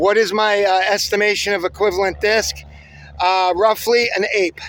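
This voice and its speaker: A man speaks with a high-pitched voice. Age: 60s. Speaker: disc golf hobbyist video host. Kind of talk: casual outdoor demonstration vlog. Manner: halting, many fillers.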